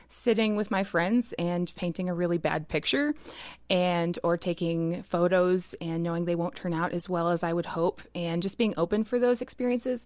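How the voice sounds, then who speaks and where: A woman talks in a normal speaking voice at medium pitch with ordinary pitch variation and a moderate pace. The recording is very clean, with a silent background. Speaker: roundtable guest. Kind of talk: casual chat.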